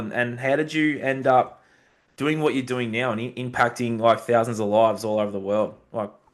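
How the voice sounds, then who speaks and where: A man talks at a fairly quick pace with an Australian accent. His pitch is medium, with ordinary pitch variation. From Australia (Bendigo, Victoria). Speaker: podcast host. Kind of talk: podcast interview.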